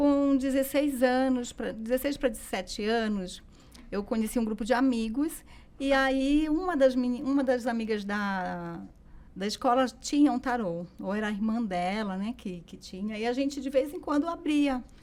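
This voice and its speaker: Ordinary pitch variation runs through a woman's high speaking voice. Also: moderate pace. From Belém, Pará, northern Brazil. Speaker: tarot teacher. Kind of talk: interview.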